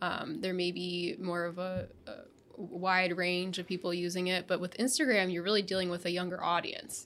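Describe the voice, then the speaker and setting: A woman with an ordinary speaking voice talks at medium pitch and a moderate pace. Her intonation stays fairly even. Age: 30s. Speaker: video marketing podcast co-host. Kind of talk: casual chat.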